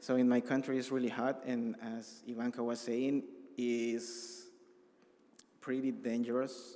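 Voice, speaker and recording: The speaker, in a Salvadoran accent, goes at a fairly slow pace with long, frequent pauses and monotone, flat intonation. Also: man, medium pitch for a man. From El Salvador. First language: Spanish. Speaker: refugee. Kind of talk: testimony. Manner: halting.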